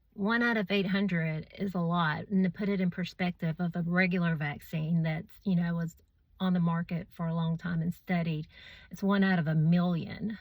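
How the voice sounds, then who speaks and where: The voice is somewhat breathy, with monotone, flat intonation at a moderate pace. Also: woman, fairly low pitch for a woman, very clean recording, silent background. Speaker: vaccine-injured person sharing her story. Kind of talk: personal testimony video. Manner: halting, many fillers.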